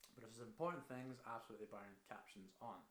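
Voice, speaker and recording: A man talks at a fairly quick pace in a Scottish accent. Audible room echo surrounds his voice. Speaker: marketing consultant. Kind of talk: tutorial. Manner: casual.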